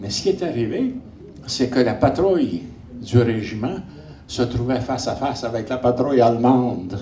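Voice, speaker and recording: A man at medium pitch with a Quebec accent, speaking at a fairly slow pace amid audible room echo. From Quebec, Montreal (Saint-Henri). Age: 80s+. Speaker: geographer and army veteran lecturer. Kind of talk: lecture. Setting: conference with audience. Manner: animated.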